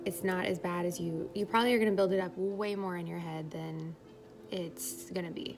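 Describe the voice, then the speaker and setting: Over music in the background, a woman talks at a moderate pace and medium pitch with ordinary pitch variation. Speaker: vlogger sharing birth story. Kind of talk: casual vlog monologue. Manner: rambling, filler-heavy.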